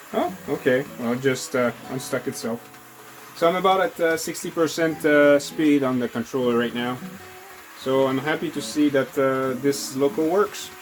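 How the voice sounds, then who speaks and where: Amid noticeable background noise, a man with a fairly high pitch speaks at a moderate pace. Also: ordinary pitch variation. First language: not English. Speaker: model train hobbyist youtuber. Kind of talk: casual tutorial-style demonstration. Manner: halting, many fillers.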